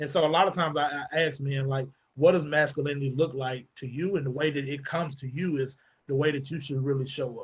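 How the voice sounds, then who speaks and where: A man talks very fast with a Southern US accent. His voice is somewhat breathy. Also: fairly even intonation. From US South, Arkansas. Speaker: mental health advocate. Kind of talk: panel discussion. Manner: hesitant, many fillers.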